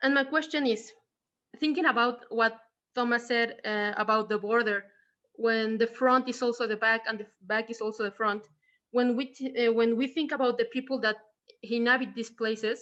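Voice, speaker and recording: In a Mexican accent, a woman speaks at a moderate pace with a fairly high pitch and fairly even intonation. Her tone is bright and sharp, and the background is quiet. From Mexico. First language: Spanish. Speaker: audience member asking a question. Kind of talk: Q&A question in online talk. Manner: halting, many fillers.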